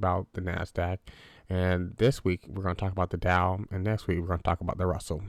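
A man speaks in a very deep, low voice. The sound is dry and close with no echo, on a very clean recording with a silent background. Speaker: finance podcast host. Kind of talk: solo educational podcast monologue. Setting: home computer recording. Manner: slow, halting with many fillers; casual, conversational.

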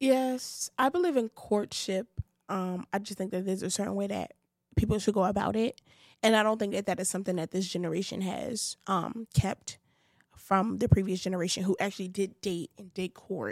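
A woman with a Brooklyn accent at a moderate pace, big swings in loudness, and a dry, close sound with no echo. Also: medium pitch for a woman, ordinary pitch variation. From Brooklyn, New York (Bed-Stuy). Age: 20s. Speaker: podcast co-host, singer-songwriter. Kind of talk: casual chat.

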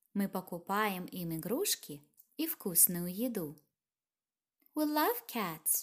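In a very clean recording with a silent background, a woman speaks very slowly in a Russian accent. Her medium pitch makes very wide swings. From Russian Far East, near Vladivostok. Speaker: language teacher podcaster. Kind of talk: language lesson.

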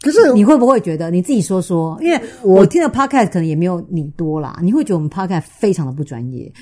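Speaking at a very fast pace, a woman with a dark, mellow tone and a medium pitch moves through very wide pitch swings. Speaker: sex and relationships podcast host, author. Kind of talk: casual chat.

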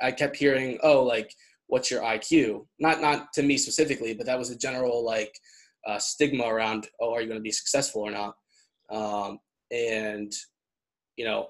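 A man talks at a moderate pace with fairly even intonation. He has an unremarkable speaking voice. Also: quiet background. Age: 20s. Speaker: podcast host. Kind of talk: casual interview chat. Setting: video call.

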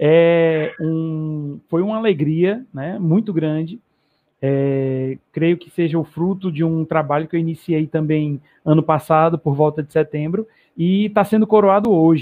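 A man with a normal speaking voice, fairly high in pitch, with ordinary pitch variation, a fairly slow pace and big swings in loudness. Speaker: running channel host. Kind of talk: casual live stream chat. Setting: online live stream.

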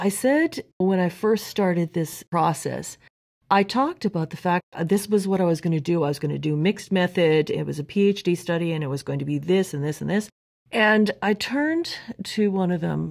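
Recorded very cleanly against a silent background, a woman with an unremarkable speaking voice talks at a moderate pace and fairly low pitch with ordinary pitch variation. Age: 50s. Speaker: podcast guest, host's sister. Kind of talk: casual chat.

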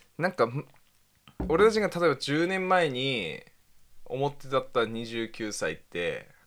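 A man's fairly high voice at a very slow pace, with very wide pitch swings and long, frequent pauses. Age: 20s. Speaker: podcast co-host. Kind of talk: casual chat.

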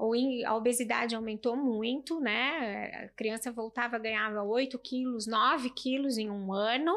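A plain, everyday voice from a woman, fairly high in pitch, fairly even in intonation, fairly slow, with hardly any pauses. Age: 40s. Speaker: pediatrician. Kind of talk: casual chat.

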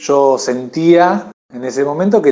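Pitched at a medium level for a man, this is an ordinary speaking voice, and its pitch moves with ordinary variation. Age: 30s. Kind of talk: testimony.

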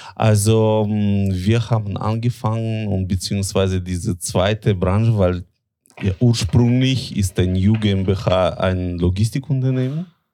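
A man's fairly low, dark and mellow voice in a Russian accent, very slow and fairly even in intonation, on a very clean recording with a silent background. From Latvia. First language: Russian (speaking German). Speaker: tobacco importer. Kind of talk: interview.

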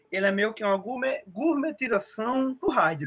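Over background music, a man uses a raised, projected voice at a moderate pace with ordinary pitch variation. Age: 20s. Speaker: podcast co-host. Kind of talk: casual chat.

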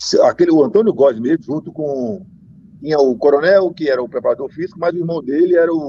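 A man at a fairly quick pace in a dry, close sound with no echo. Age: 50s. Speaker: former football player. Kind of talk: interview.

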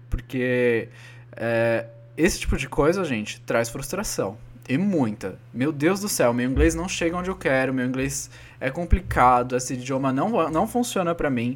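In a normal speaking voice, a man talks at a fairly slow pace. His pitch is medium and his intonation lively. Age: 30s. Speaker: podcast co-host, flight attendant. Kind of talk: casual chat.

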